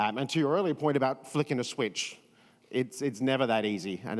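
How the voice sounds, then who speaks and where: This man speaks with an Australian accent at a medium pitch, his pitch rising and falling in an ordinary way. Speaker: event experience strategist. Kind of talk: panel discussion.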